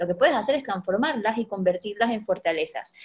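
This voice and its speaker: A woman speaks at a fairly quick pace in a normal speaking voice. Her pitch is fairly high, with ordinary pitch variation. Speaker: podcast host, educator and life coach. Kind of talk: casual chat.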